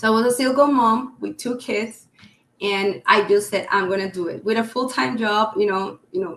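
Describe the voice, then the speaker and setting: A woman with a Colombian accent speaks with lively intonation. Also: fairly high pitch for a woman, moderate pace. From Colombia, Cali. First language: Spanish. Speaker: real estate agent. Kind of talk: podcast interview. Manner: halting.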